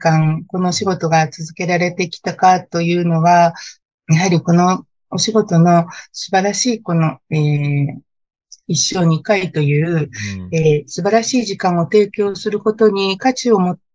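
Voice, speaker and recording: Speaking at a fairly slow pace, a woman has a fairly low pitch, a somewhat breathy voice and ordinary pitch variation. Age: 50s. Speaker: wedding planner. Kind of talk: interview.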